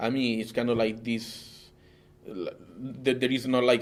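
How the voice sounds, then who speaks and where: A man with a non-native accent speaks at a moderate pace in a medium pitch. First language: Italian. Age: 30s. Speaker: interviewee. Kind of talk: interview. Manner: halting.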